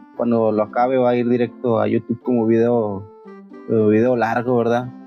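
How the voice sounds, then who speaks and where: Music plays in the background as a man talks at a fairly slow pace. His intonation is monotone and flat. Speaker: streamer reading horror stories. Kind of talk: casual talk to live audience.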